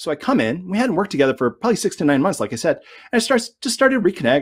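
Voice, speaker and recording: A man's very fast speech with very wide pitch swings over a quiet background. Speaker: sales consultant, conference speaker. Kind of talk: conference talk.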